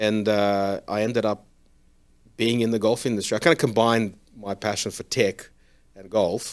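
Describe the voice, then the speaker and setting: Pausing long and often, a man with an Australian accent speaks at a moderate pace in a fairly low pitch, his intonation fairly even but his loudness swinging widely. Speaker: golf simulator company founder. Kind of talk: interview.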